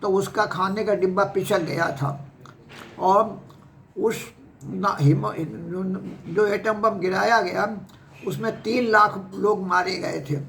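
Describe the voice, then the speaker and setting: Noticeable noise runs behind a man whose voice sits high in pitch. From Uttar Pradesh, Kanpur district. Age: 80s+. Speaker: retired professor and former university vice-chancellor. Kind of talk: life story interview.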